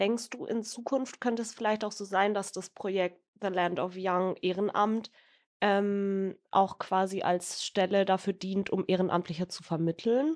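In a dry, close sound with no echo and a quiet background, a woman uses a normal speaking voice at medium pitch and a fairly slow pace. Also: fairly even intonation. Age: 20s. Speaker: youth council member, podcast co-host. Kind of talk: interview.

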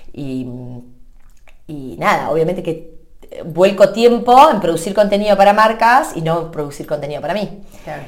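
An animated woman with a fairly low voice and lively intonation, broken by long, frequent pauses, with audible room echo. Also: moderate pace. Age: 30s. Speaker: social media content creator. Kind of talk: interview.

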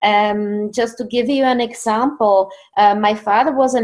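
Fairly slow speech with a Czech accent. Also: woman. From Czech Republic. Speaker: author and success coach. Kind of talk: interview conversation.

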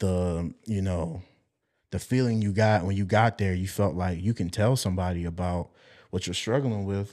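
On a very clean recording with a silent background, a man speaks at a moderate pace. His very deep, low voice keeps a fairly even intonation. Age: 20s. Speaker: church drummer and musician. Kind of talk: testimony.

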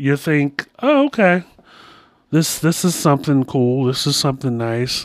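This is an ordinary speaking voice from a man with a fairly high pitch. He talks at a fairly slow pace with ordinary pitch variation. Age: 40s. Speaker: podcast host. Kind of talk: solo monologue with storytelling and advice.

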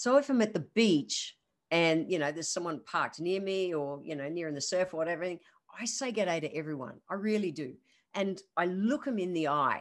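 This voice carries an Australian accent. The intonation is lively over a quiet background. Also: woman. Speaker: naturopath podcast host. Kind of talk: solo podcast monologue. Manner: fast talker, excitable.

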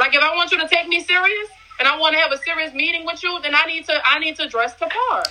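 A woman speaks at a very fast pace in a raised, projected voice, her pitch extremely high with ordinary variation, over noticeable background noise. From New Orleans, Louisiana. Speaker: entrepreneur. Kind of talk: casual chat.

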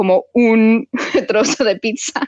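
With a non-native accent, the speaker keeps a fairly even intonation. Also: woman, dry, close sound with no echo. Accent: foreign accent in Spanish. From United States. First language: English (speaking Spanish). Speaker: film director and writer. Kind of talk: interview. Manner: halting.

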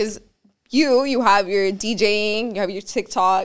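A fairly high-pitched woman with a Spanish accent, at a fairly slow pace and with ordinary pitch variation. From Miami, Cuban-American. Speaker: podcast host. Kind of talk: sponsor read; casual chat.

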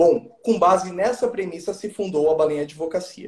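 Speaking at a fairly slow pace, a man uses a high pitch. His intonation is lively. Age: 20s. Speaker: real estate lawyer and author. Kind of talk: interview, explanatory.

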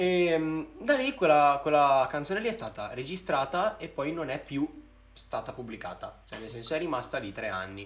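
At a moderate pace, a man with a fairly high pitch uses very wide pitch swings and big swings in loudness. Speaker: singer and rapper. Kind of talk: casual chat. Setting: live stream. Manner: talkative.

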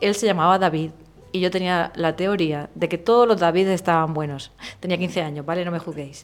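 At a moderate pace, a woman speaks with fairly even intonation and a fairly low pitch. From Murcia, Spain. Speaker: illustrator. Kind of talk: casual interview.

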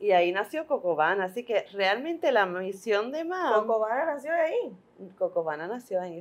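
A woman's voice with very wide pitch swings, set against noticeable background noise. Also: fairly high pitch for a woman, moderate pace. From Puerto Rico. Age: 40s. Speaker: midwife. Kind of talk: interview.

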